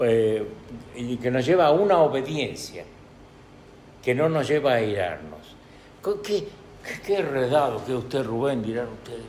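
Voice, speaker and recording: Amid noticeable background noise and audible room echo, a man speaks at a fairly slow pace with long, frequent pauses and very wide pitch swings. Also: medium pitch for a man. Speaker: preacher. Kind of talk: sermon. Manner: halting, many fillers.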